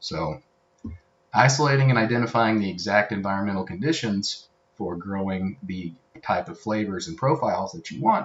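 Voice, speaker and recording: Here a man with an Appalachian accent has a fairly low voice. His pitch swings very widely. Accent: Appalachian pronunciation. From Tennessee. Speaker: co-host. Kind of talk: casual chat.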